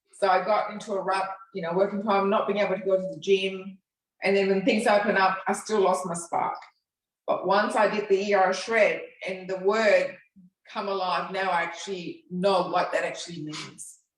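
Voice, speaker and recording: Audible room echo surrounds the voice. The delivery is monotone and flat at a moderate pace. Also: woman, medium pitch for a woman. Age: 60s. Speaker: fitness program participant. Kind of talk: interview.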